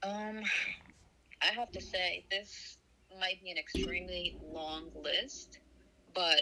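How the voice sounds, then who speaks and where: At a very slow pace, a woman speaks. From Palestinian heritage. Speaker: activist guest. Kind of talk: interview.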